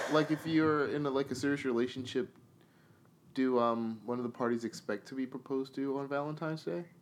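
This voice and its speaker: Speaking fairly quickly with fairly even intonation, this man has a medium-pitched voice and an unremarkable speaking voice. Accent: American. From New York. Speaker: podcast co-host. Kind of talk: casual chat.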